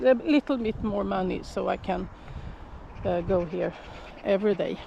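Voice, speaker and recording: A Swedish accent at a fairly slow pace over noticeable background noise. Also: woman. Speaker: shepherd. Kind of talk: casual vlog. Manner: halting.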